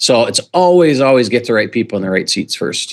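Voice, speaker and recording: Someone talks at a very fast pace with an American accent. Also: man. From US Midwest, central North Dakota. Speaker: business coach. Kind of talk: podcast interview.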